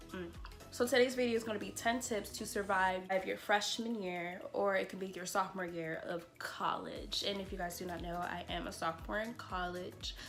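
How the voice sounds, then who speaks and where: Noticeable background noise runs through the clip. Audible room echo can also be heard. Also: woman, medium pitch for a woman, ordinary pitch variation, moderate pace. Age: 20s. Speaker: YouTuber and college student. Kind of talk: vlog-style advice talk. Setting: filming at home on a tripod. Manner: animated; casual.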